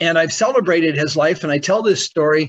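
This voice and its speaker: A man talks in a plain, everyday voice, his pitch fairly high with ordinary variation. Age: 60s. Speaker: NLP trainer and coach. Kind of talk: testimony. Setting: video call. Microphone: on iPhone hotspot.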